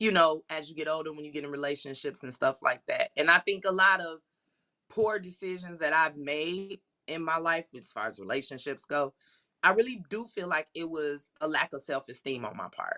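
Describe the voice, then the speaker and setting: A woman's fairly low voice, bright and sharp in tone, with ordinary pitch variation and a dry, close sound with no echo. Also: moderate pace, big swings in loudness. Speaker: spa owner. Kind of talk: interview conversation. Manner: loud.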